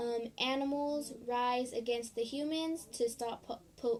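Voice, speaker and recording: A high-pitched woman speaks fairly slowly with monotone, flat intonation. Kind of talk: casual talk to camera.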